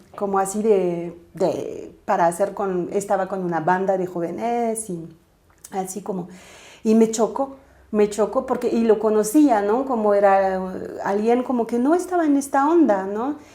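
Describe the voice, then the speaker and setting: Speaking with a French accent at a fairly slow pace, a woman uses a medium pitch and lively intonation, her tone dark and mellow. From southern France, Toulouse. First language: French (speaking Spanish). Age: 30s. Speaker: spiritual coach and aura reader. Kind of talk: interview conversation.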